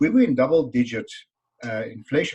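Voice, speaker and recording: A man with a South African accent speaks at a fairly quick pace in a somewhat breathy voice. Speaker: business author and speaker. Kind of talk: interview.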